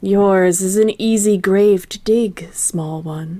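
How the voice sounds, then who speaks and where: A put-on character voice moves at a very slow pace with fairly even intonation. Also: woman, medium pitch for a woman. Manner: grave, ominous.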